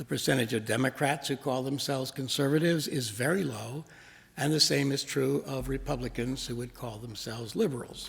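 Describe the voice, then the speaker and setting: A man speaks at a fairly quick pace with vocal fry and ordinary pitch variation. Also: medium pitch for a man. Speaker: minister giving a sermon. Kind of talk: sermon delivered to a congregation.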